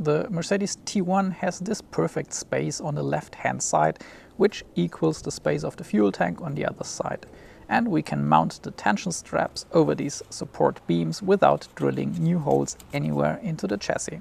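Over light background noise, a man speaks at a moderate pace, the sound dry with no echo. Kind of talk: tutorial. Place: street. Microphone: lapel.

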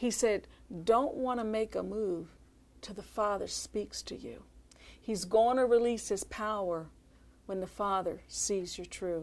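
A woman with an American accent speaks at a fairly slow pace, her loudness swinging widely while her pitch varies in an ordinary way. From Philadelphia. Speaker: minister's wife. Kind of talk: ministry testimony. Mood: earnest, calm conviction. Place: studio. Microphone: lapel.

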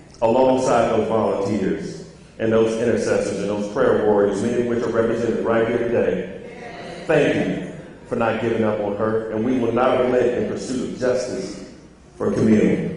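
A man talks at a moderate pace with ordinary pitch variation. Light background noise and strong room echo fill the recording. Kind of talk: formal public remarks and reading. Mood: solemn, consoling. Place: church.

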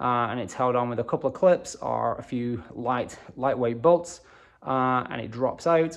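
A man talks at a moderate speed, and the background is quiet. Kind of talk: tutorial. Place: garage. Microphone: phone near.

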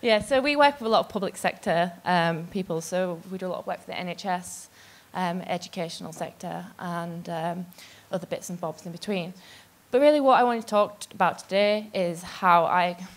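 At a moderate pace, a woman speaks with ordinary pitch variation. Her loudness swings widely. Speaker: conference speaker. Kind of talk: talk to an audience. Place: stage. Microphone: handheld.

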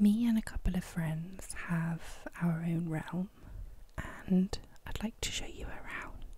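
A soft-spoken woman whispering with a British accent, somewhat breathy, at a fairly slow pace with long, frequent pauses. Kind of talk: ASMR gameplay commentary. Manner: whispered, soft-spoken.

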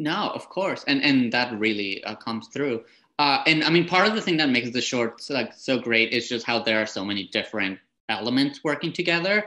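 A man's bright, sharp, enthusiastic voice at medium pitch, with lively intonation and a fairly quick pace. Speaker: film festival programmer moderating panel. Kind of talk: panel Q&A moderation. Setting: video call. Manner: friendly, enthusiastic. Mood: warm, appreciative. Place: home room. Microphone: earbuds.

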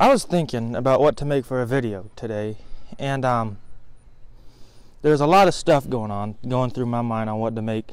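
With long, frequent pauses, a man speaks at a moderate pace with ordinary pitch variation and a dry sound with no echo. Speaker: vlogger. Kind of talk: casual vlog sermon. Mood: earnest, reflective. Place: garden. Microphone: phone near.

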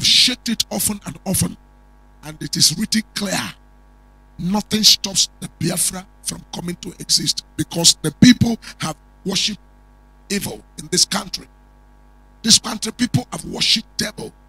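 In a Nigerian accent, a man with a high voice, ordinary pitch variation and a solemn tone speaks at a moderate pace with long, frequent pauses and big swings in loudness, the sound dry with no echo. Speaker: prophet and preacher; preacher. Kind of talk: prophetic sermon with fervent, warning-filled declarations, ending in a blessing prayer. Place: studio. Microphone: handheld.

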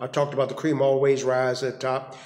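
There is audible room echo as a man talks with monotone, flat intonation. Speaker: motivational speaker. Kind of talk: personal reflection monologue. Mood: earnest, preachy. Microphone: phone near.

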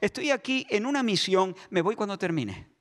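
A man talks with lively intonation at a moderate pace, the background quiet. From Spain. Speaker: pastor. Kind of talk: sermon. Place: church. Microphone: handheld.

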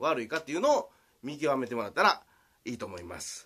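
In a Kansai accent, a man speaks with a bright, sharp tone and fairly high pitch, swinging very widely in pitch on a very clean recording with a silent background. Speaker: swimming coach. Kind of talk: video tutorial. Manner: halting, full of fillers.

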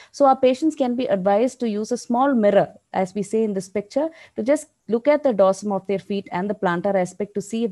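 A woman speaks fairly quickly in a dark, mellow tone with lively intonation. The background is quiet. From India. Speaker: diabetes nurse educator. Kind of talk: lecture. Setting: video call. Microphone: video call.

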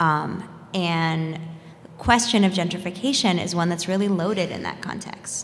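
A woman's fairly low voice at a moderate pace, with big swings in loudness. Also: ordinary pitch variation. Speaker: community land activist. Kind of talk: panel discussion. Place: hall. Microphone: podium.

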